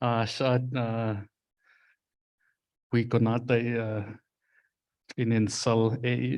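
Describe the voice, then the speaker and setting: At a very slow pace, a man of medium pitch speaks in a monotone, flat way with long, frequent pauses. Audible room echo surrounds his voice. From Alaska, Fort Yukon. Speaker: language instructor. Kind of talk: workshop presentation.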